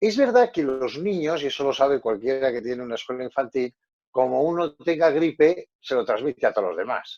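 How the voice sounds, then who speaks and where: A man talks at a moderate pace in a fairly high pitch, with a plain, everyday voice. The sound is dry and close with no echo. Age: 60s. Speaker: psychologist. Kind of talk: panel discussion.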